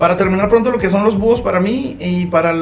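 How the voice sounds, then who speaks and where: At a fairly quick pace, the speaker uses ordinary pitch variation amid noticeable background noise and audible room echo. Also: man. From Chihuahua city, northern Mexico. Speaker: mariachi singer. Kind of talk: casual chat.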